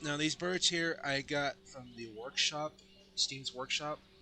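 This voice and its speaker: Fairly slow, fairly even speech from a man, with music in the background. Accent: American. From Colorado, US. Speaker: gaming YouTuber. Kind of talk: game walkthrough commentary. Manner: halting, with fillers and restarts.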